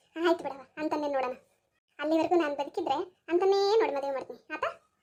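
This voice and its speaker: In a put-on character voice, a woman sounds squeaky and high-pitched. Her pace is moderate and her pitch varies in an ordinary way. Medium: cartoon. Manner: bossy, blunt.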